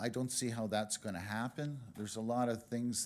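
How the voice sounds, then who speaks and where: A man speaks at medium pitch. His intonation is monotone and flat. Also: very clean recording, silent background. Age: 60s. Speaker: public delegate at council meeting. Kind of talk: public delegation address. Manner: halting, many filler uhs.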